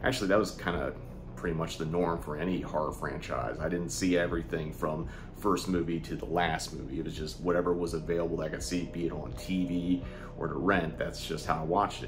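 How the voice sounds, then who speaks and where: Music in the background behind a man's very deep, low voice with ordinary pitch variation. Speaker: video host. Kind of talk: casual vlog chat. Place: home room.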